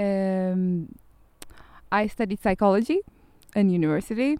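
Speaking at a very slow pace, a woman of medium pitch has a dark, mellow tone and ordinary pitch variation. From Turkey, Istanbul. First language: Turkish (speaking German). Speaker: youth project volunteer. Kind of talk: interview.

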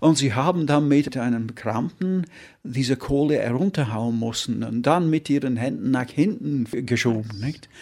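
Spoken at a fairly slow pace with an English accent, the voice shows ordinary pitch variation. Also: man, medium pitch for a man. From northern England (Yorkshire, Derbyshire). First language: English (speaking German). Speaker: painter. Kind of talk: interview. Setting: studio. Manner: halting.

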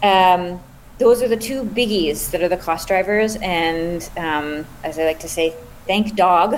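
Speaking very slowly with a Canadian accent, a woman uses ordinary pitch variation. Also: medium pitch for a woman. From Canada. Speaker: startup founder and scientist. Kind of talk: interview.

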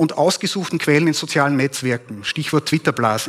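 A man's voice with ordinary pitch variation, dry and close with no echo. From Upper Austria (Steyr). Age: 40s. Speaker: propaganda researcher. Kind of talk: conference talk. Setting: stage with audience.

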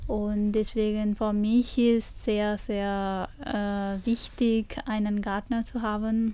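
Woman with a Punjabi accent, fairly high pitch, a dark, mellow tone, monotone, flat intonation, and a very slow pace. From India, Punjab. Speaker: studio guest, history graduate. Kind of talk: radio interview. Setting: radio studio. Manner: halting, many hesitations.

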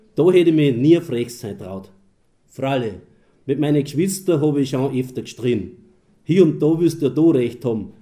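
A man's dark, mellow tone with lively intonation at a moderate pace. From Austria, Mühlviertel. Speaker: dialect poet and moderator. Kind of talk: public reading and moderation.

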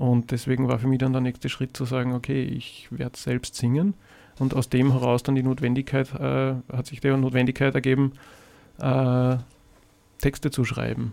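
A man speaks in a dark, mellow tone with monotone, flat intonation. Long, frequent pauses break up his speech. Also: medium pitch for a man, moderate pace. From Austria, Salzburg city. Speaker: singer-songwriter. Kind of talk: radio interview. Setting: radio studio. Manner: halting, many fillers and repetitions.

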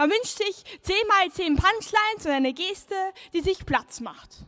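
Words come fairly slowly, yet the intonation stays lively. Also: woman. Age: young. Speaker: slam poet. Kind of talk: poetry performance. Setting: outdoor stage with audience.

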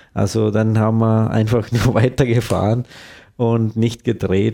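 This man has a dark, mellow tone and a medium pitch. He speaks at a fairly slow pace in a very clean recording with a silent background. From India, Kerala. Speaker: documentary filmmaker, former journalist. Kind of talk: interview. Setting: studio. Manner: halting.

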